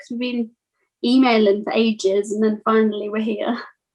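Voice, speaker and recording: At a moderate pace, a woman speaks with a slight Birmingham accent. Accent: slight Brummie. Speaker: music podcast interviewer. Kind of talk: casual interview.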